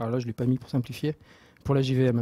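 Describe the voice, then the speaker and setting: At a very fast pace, a man speaks with a fairly high pitch. His tone is dark and mellow, and the sound is dry and close with no echo. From Marseille, southern France. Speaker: software developer, open source project lead. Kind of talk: technical talk. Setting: meetup talk with audience and microphone. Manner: halting, many filler words and repetitions.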